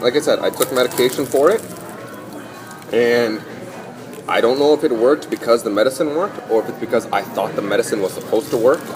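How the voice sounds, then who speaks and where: This man talks at a very fast pace with ordinary pitch variation, broken by long, frequent pauses, over noticeable background noise. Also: medium pitch for a man. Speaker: podcast host. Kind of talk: casual chat.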